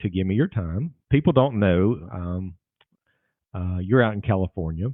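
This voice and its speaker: A man with a Southern US accent talks at a fairly slow pace with ordinary pitch variation. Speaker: lawyer and podcast host. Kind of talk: podcast interview.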